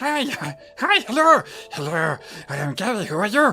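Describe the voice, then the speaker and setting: Faint music plays in the background of this put-on character voice. It sits fairly high in pitch, swings very widely, and moves at a moderate pace. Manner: eager, greeting.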